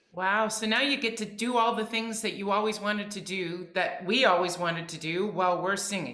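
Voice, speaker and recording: Audible room echo and a quiet background around a woman's voice. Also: ordinary pitch variation, moderate pace. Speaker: podcast co-host. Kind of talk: casual chat. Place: home room.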